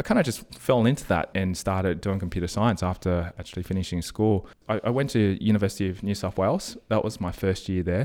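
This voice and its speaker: The speaker rushes along at a very fast pace with hardly any pauses. The accent is Australian. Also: man, fairly low pitch for a man, ordinary pitch variation, very clean recording, silent background. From Australia, Sydney (Strathfield). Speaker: podcaster and property investor. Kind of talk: interview.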